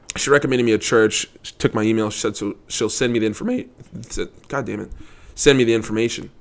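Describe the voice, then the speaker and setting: Very fast speech from a man at medium pitch, monotone and flat in intonation, with big swings in loudness. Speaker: vlogger, insurance salesman. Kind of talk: casual monologue vlog. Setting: living room at home.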